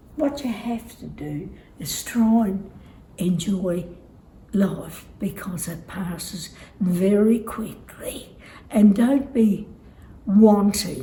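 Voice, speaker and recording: Audible room echo surrounds a woman at medium pitch speaking at a very slow pace, with long, frequent pauses. Her loudness swings widely while her pitch varies in an ordinary way. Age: 90s. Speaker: elderly interviewee. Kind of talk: casual interview.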